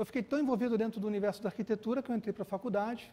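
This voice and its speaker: A man in a Carioca accent speaks very fast at a high pitch, his dark, mellow tone showing ordinary pitch variation. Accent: Carioca (Rio) accent, kept. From Rio de Janeiro, Brazil. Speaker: architecture photographer. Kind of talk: lecture. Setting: event hall with live audience, no microphone. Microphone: speaking without a microphone.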